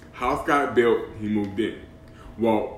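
The speaker has an American accent and talks at a fairly slow pace with very wide pitch swings. Audible room echo surrounds the voice. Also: man. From Boston. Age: 40s. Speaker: podcast host. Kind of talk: casual chat. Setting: at a friend's house.

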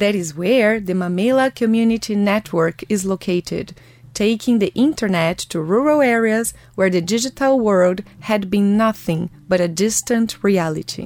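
A woman speaks with a Portuguese accent at a medium pitch. Her pitch varies in an ordinary way. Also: moderate pace. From Brazil. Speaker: podcast host. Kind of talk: scripted narration. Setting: studio.

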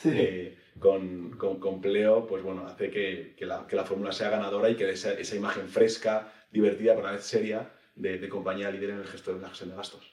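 Loudness swings widely as a man with a fairly low pitch speaks in a monotone, flat intonation, and room echo is audible. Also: fairly quick pace. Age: 30s. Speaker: tech company executive. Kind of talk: interview.

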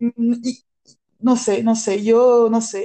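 The speaker is a woman with a French accent. Her voice sits at a high pitch. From France. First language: French (speaking Spanish). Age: 30s. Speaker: improv performer. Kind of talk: personal testimony. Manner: halting.

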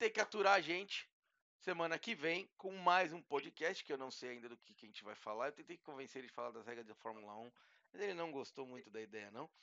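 A fairly high male voice with very wide pitch swings. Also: fairly quick pace, big swings in loudness. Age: 40s. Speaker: tech influencer, podcast co-host. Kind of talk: casual chat.

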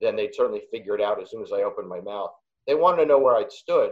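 This man talks at a very fast pace. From New York (Queens). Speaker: comedian. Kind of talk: casual chat. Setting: video call.

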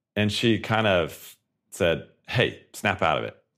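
Vocal fry marks the speech of a man with an American accent. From Colorado, US. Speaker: tech company founder and CEO. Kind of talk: podcast interview.

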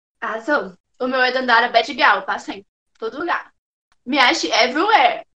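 Using a raised, projected voice at a high pitch, a woman speaks at a moderate pace with lively intonation, big swings in loudness, and long, frequent pauses. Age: 20s. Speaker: rapper. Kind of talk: casual chat.

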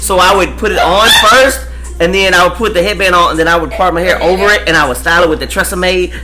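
Over music in the background and with audible room echo, a man with an American accent talks at a very fast pace in an animated tone, his loudness very even. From West Texas, Amarillo. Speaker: dancer. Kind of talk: casual chat.

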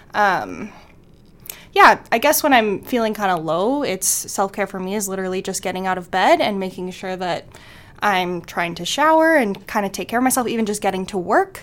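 At a moderate pace, an unremarkable speaking voice carries lively intonation. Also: woman, medium pitch for a woman. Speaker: guest, works with people learning life skills. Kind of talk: casual interview. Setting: shared mic recording.

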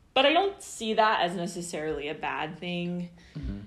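With audible room echo, a woman speaks at a fairly low pitch with an American accent. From Kansas City area, US Midwest. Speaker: poet and writer. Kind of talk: casual chat. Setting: podcast recording venue.

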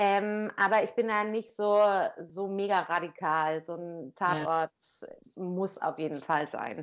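A woman speaks at a very slow pace and a medium pitch. Her pitch varies in an ordinary way against a quiet background. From northern Germany, Lower Saxony (Wildeshausen area). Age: 30s. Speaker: podcast guest, NGO worker. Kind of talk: casual chat. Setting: Skype call. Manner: talkative.

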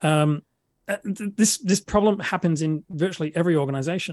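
A man with an Australian accent speaks at a fairly quick pace with ordinary pitch variation, the sound dry and close with no echo. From South Australia, Adelaide. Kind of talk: interview. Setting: remote recording with good microphone. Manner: halting, frequent repetitions and fillers.

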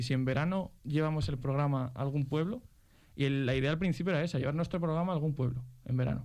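Talking at a fast pace, a man with a fairly high pitch and a slightly mellow tone shows ordinary pitch variation, with audible room echo.

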